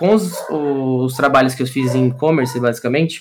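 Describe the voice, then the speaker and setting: Fairly even intonation marks this speech, delivered at a fairly slow pace. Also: man. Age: 20s. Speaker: UX designer. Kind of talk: casual interview. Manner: hesitant with many fillers.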